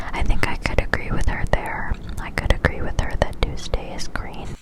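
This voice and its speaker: The speech is whispered at a middling tempo. Clear noise can be heard behind it. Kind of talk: ASMR whisper reading and commentary to camera. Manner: whispered, soft, intimate.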